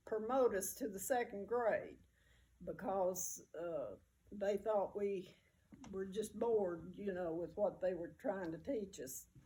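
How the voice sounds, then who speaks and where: With a Southern US accent, a woman speaks at a very slow pace in a dark, mellow tone. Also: medium pitch for a woman, ordinary pitch variation. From US South, rural mountain area. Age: 80s+. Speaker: oral history interviewee. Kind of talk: personal reminiscence interview. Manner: halting, many fillers.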